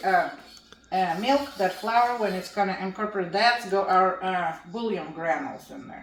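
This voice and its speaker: Noticeable background noise and audible room echo surround this speaker, who has a Russian accent, a moderate pace, ordinary pitch variation and big swings in loudness. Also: woman. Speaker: home cooking channel host. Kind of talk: cooking tutorial.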